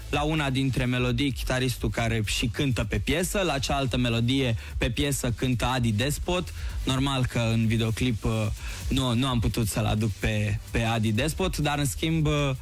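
Faint music plays in the background of this dry recording with no echo, as a man speaks at a moderate pace with ordinary pitch variation. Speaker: guest. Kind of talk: interview answer. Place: studio. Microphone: studio mic.

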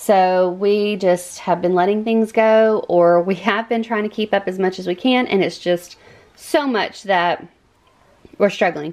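A woman speaks at a fairly slow pace with fairly even intonation. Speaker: cleaning vlogger. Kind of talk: casual vlog chat. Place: home room. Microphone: phone near.

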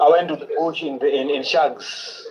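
At a moderate pace, a man talks with fairly high pitch and fairly even intonation.

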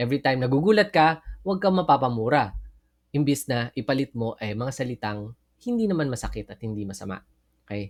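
Speaking at a very fast pace, a medium-pitched man makes very wide pitch swings and big swings in loudness, in a dry, close sound with no echo. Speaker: Bible teacher. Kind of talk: Bible study lecture.

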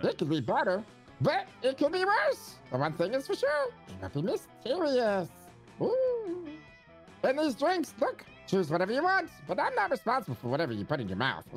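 A high-pitched, put-on character voice talks at a moderate pace. Clear music plays in the background. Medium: game stream. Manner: chipper, welcoming, a bit reckless.

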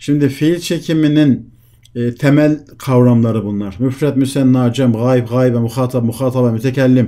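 This man's voice sits at a medium pitch, with a dark, mellow tone and fairly even intonation. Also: moderate pace. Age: 50s. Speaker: Arabic language teacher. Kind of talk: online lecture. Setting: online class with screen sharing. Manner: interactive, questioning students.

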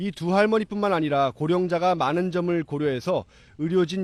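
A man speaks at a moderate pace in a plain, everyday voice. The recording is very clean with a silent background and a dry, close sound with no echo. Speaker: news reporter. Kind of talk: live news report. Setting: on location in Sokcho.

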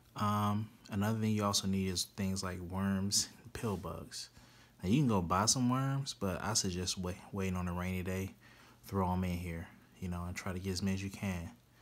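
A man speaks very deep and low. His intonation stays fairly even. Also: moderate pace. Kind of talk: tutorial. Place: home room. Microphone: phone near.

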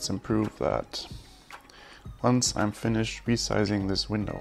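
A man talks at a fairly slow pace. Faint music plays in the background. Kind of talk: casual coding commentary. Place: home room.

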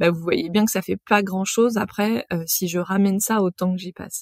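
The sound is dry and close, with no echo. A woman speaks at a moderate pace and medium pitch with fairly even intonation. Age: 40s. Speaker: podcast host and marketing professional. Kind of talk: casual solo monologue. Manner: hesitant, many filler sounds.

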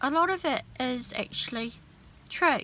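The tone is bright and sharp, delivered at a very slow pace. The sound is dry with no echo, over light background noise. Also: woman. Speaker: spiritual vlogger. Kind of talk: casual vlog chat. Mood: earnest, calm conviction. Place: car. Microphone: phone near.

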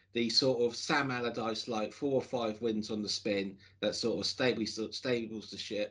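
The setting is quiet. Here a man talks at a moderate pace. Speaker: football fan podcast host. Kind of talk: casual podcast commentary. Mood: hopeful, reflective. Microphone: video call.

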